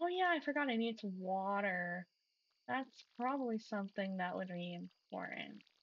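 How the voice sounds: Lively intonation shapes a natural reading voice, with the background kept quiet.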